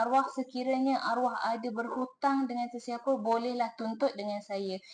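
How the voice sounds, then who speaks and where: This woman speaks at a high pitch with a Terengganu accent. Her pitch varies in an ordinary way. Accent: Terengganu Malay. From Malaysia, Terengganu. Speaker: inheritance planning consultant. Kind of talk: tutorial. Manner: casual, repetitive.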